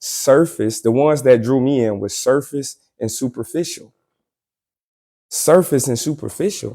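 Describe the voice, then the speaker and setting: Over a silent background in a very clean recording, a man speaks fairly slowly at a medium pitch, his tone dark and mellow, with ordinary pitch variation. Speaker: podcast host. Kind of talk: podcast monologue. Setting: live stream. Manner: casual, repetitive.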